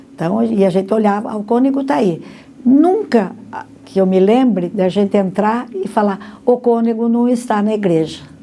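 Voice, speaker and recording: Noticeable background noise sits behind a woman's fairly high voice. She uses ordinary pitch variation at a moderate pace. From Brazil, Monte Mor, São Paulo state. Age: 80s+. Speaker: interviewee, longtime parishioner. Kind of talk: documentary interview testimony.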